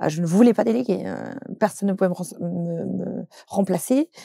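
Recorded dry with no echo and a quiet background, a woman speaks in a dark, mellow tone. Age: 30s. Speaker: social media content creator and trainer; social media content creator, trainer. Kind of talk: interview. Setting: studio. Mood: open, personal, reflective. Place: studio.

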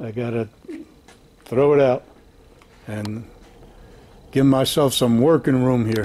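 This man speaks at a fairly slow pace. His intonation is fairly even. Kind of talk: casual vlog chat. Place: garage. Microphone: phone near.

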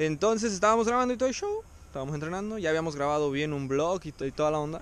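The man's voice comes through dry, with no echo. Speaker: parkour vlogger. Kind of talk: casual vlog chat. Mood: relaxed storytelling. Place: street. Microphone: phone near.

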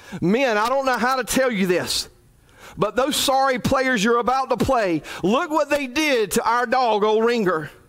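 In a shaky, put-on character voice pitched extremely high, a man speaks at a moderate pace. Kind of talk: sermon. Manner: quivering, emotional.

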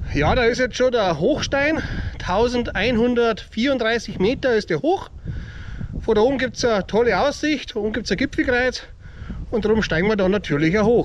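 A man with an extremely high-pitched voice talks at a moderate pace over light background noise. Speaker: hiking vlogger. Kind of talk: casual vlog chat. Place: forest. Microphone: phone near.

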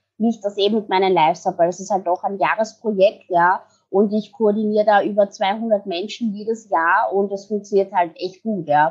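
With a Viennese accent, a woman at a medium pitch talks at a fairly quick pace with hardly any pauses. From Vienna, Austria. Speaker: branding and PR expert. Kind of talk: podcast interview answer. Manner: upbeat.

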